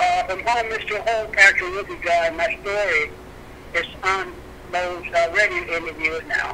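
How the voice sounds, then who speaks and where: Noticeable background noise surrounds a man's raised, projected voice. He speaks high in pitch at a moderate pace with ordinary pitch variation. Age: 70s. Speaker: composer and pianist. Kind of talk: interview. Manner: halting.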